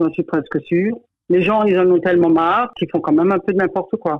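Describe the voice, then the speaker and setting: Fairly quick speech comes from a woman with a fairly low pitch. It is a normal speaking voice. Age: 60s. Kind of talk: interview answer.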